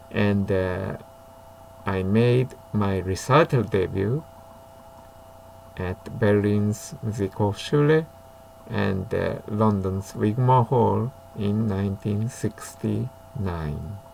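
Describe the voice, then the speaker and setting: A man with a fairly low pitch speaks at a very slow pace, with ordinary pitch variation, long and frequent pauses, and noticeable background noise. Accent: Japanese. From Japan. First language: Japanese. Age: 70s. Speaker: violinist. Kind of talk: casual talk. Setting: home study. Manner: halting.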